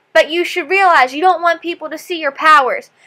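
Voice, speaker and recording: A woman speaks in a raised, projected voice with a bright, sharp tone and an extremely high pitch. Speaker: TV reaction vlogger. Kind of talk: TV episode reaction. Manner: animated.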